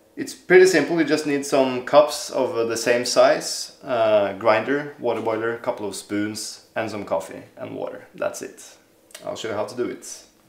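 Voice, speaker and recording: A man speaks at a moderate pace, his loudness swinging widely. Audible room echo surrounds his voice. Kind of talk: tutorial. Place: kitchen.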